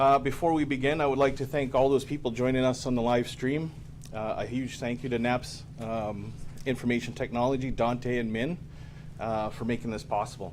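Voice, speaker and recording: A man speaks at a moderate pace with a medium pitch and fairly even intonation, and some room echo can be heard. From Mi'kmaq, New Brunswick, Canada. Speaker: police officer and ceremony MC. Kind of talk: ceremony MC address. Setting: ceremony hall, live-streamed. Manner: formal, with hesitations.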